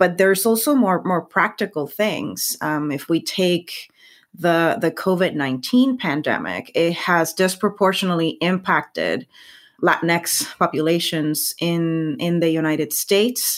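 On a very clean recording with a silent background, a woman with a fairly low pitch speaks at a fairly slow pace with ordinary pitch variation. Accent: Spanish. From Puerto Rico. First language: Spanish. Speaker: science communicator. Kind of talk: interview conversation. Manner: hesitant, repeats words.

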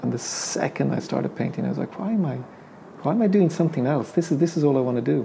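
Through noticeable background noise, a man with an Irish accent talks very fast at a fairly high pitch. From Ireland; Dublin. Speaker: painter. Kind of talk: casual interview. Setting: studio.

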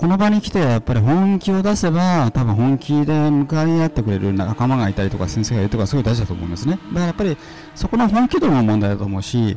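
Someone talks at a very fast pace with very wide pitch swings over noticeable background noise. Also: man, medium pitch for a man. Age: 50s. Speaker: seminar student and businessman. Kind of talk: casual chat.

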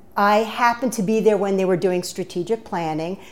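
A woman with a New York accent talks at medium pitch with fairly even intonation. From New York (Bronx) until ten, then Maryland. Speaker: nonprofit consultant. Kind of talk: interview. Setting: studio.

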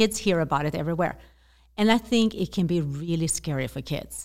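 This woman has a Swedish accent and a fairly low pitch. Her intonation is lively. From Sweden. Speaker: zero-waste activist and author. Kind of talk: interview conversation. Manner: halting, hesitant with fillers.

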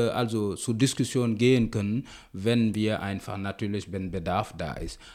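Against a silent background, a man is heard in a very clean recording. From Senegal. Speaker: cultural association chair and festival organizer. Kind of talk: podcast interview. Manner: halting, with repetitions and fillers.

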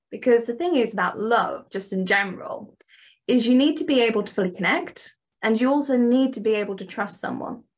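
Speaking with a British accent, a woman with a fairly high voice talks at a fairly quick pace and with lively intonation. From England. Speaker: dating and relationship coach. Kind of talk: interview, conversational.

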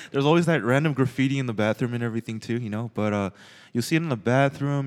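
A man with an American accent comes through in a very clean recording against a silent background. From Los Angeles, US. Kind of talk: casual chat. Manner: casual, joking.

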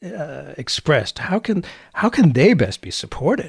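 A man with an American accent speaks at a moderate pace, somewhat breathy and with very wide pitch swings. The sound is dry and close with no echo. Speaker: podcast host. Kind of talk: interview.

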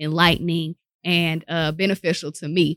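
A woman's animated tone in a dry, close sound with no echo, on a very clean recording with a silent background. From North Carolina, Winston-Salem. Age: 30s. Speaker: radio personality and professor. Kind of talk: casual interview chat. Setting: radio station studio.

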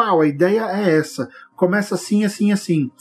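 A man speaks with a high-pitched voice. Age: 40s. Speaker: writer and podcast host. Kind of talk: solo podcast monologue. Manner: animated.

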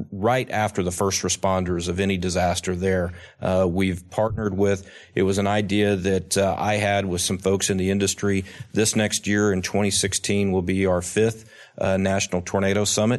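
A man with an Oklahoma accent speaks at a fairly low pitch and a moderate pace, his intonation monotone and flat. His loudness stays very even over a quiet background. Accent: Oklahoma American. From Oklahoma, Tulsa. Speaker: state insurance commissioner. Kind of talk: interview. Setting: conference in Chicago. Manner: hesitant, many fillers.

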